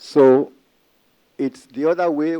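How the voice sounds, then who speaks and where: A man with an African accent speaks at a fairly high pitch, recorded in a dry, close sound with no echo. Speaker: history professor. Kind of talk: conference presentation. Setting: conference panel with audience.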